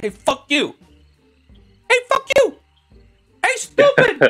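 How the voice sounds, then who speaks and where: A squeaky, put-on character voice at an extremely high pitch, spoken at a fairly slow pace. Faint music plays in the background. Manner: yelling, taunting.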